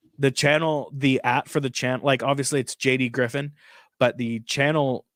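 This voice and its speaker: A man speaks at a moderate pace in a normal speaking voice, medium in pitch with fairly even intonation, on a very clean recording with a silent background and a dry, close sound with no echo. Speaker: streamer. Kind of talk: casual chat. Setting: live stream.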